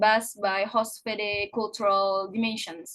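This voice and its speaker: A woman's somewhat breathy voice. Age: 20s. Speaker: university student. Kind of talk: class presentation. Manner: halting.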